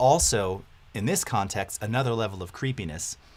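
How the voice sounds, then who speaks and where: A man talks in an ordinary speaking voice with a fairly low pitch. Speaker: audio software instructor. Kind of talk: live-streamed tutorial. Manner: casual, conversational.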